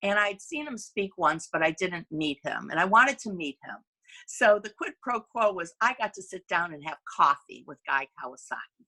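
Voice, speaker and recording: The sound is dry and close with no echo as a woman speaks at a medium pitch in a bright, sharp tone. Her pitch swings very widely, and her loudness shifts a great deal. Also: moderate pace. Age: 60s. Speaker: company CEO. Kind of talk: business presentation. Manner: conversational, with hesitations.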